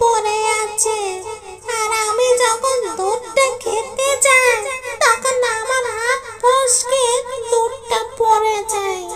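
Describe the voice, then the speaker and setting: A female-sounding cartoonish character voice cackles at a very slow pace over light background noise. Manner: cackling, menacing.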